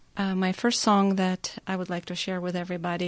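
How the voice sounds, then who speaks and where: A woman's fairly low voice with a slight Russian accent. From Russia (Nizhny Novgorod, Crimea). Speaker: pianist. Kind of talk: prepared song introduction; radio interview. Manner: halting with fillers.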